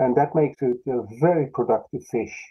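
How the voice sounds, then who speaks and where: Here a man speaks with a Dutch accent. His pitch is medium, with ordinary variation. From Netherlands. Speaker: fisheries scientist. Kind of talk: interview.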